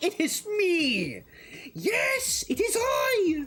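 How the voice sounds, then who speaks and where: The voice is a put-on character. It sits at an extremely high pitch. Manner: dramatic, theatrical.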